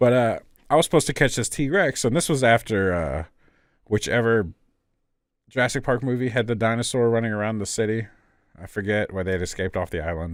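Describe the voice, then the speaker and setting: A man speaks very fast with an American accent, broken by long, frequent pauses. The recording is very clean, with a silent background. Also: medium pitch for a man, lively intonation. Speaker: gaming podcast host. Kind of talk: casual chat.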